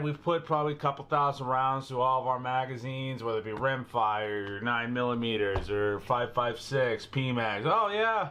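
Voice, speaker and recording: A man with an American accent, medium pitch and a moderate pace. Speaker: firearms YouTuber. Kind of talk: product tutorial. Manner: casual, chatty.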